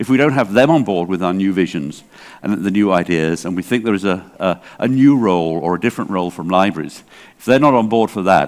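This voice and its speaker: A man with an English accent and a very deep, low pitch, at a fairly quick pace with ordinary pitch variation. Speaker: library association director. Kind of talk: conference keynote talk. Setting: stage with audience, interpreted. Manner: hesitant, many fillers.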